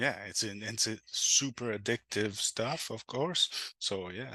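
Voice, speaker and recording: A man with a Quebec accent speaks at a fairly slow pace, his medium-pitched voice carrying a bright, sharp tone. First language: French. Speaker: game designer. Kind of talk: casual interview chat. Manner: halting, many fillers and restarts.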